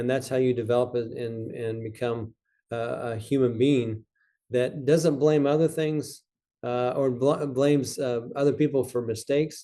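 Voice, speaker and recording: Using fairly even intonation, a man speaks at a moderate pace and medium pitch with a dark, mellow tone. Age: 50s. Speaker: university president. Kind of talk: interview conversation.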